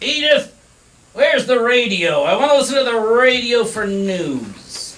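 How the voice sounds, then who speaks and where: A man puts on a loud, whiny character voice at an extremely high pitch. He speaks at a moderate pace. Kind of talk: comic overacting. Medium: stage play. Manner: whiny, loud, exclamatory.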